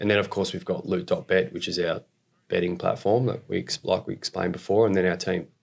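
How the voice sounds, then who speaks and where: At a very fast pace, a man speaks in an Australian accent. His pitch is very deep and low, and his intonation fairly even. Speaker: esports company executive and investor. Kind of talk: casual interview.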